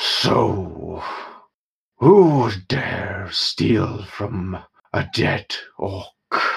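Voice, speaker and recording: Growling in a put-on character voice, a man speaks very slowly with long, frequent pauses. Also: fairly low pitch for a man. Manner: menacing.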